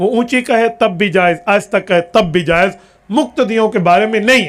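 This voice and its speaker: A man's high-pitched voice at very even loudness. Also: ordinary pitch variation. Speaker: Islamic scholar. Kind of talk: religious lecture answering a question.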